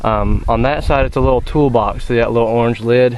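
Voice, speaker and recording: Over noticeable background noise, a man speaks at a fairly quick pace with a medium pitch and monotone, flat intonation. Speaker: vehicle owner selling his truck. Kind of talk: product walkthrough video. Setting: outdoors. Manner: loud; casual, hesitant with many fillers.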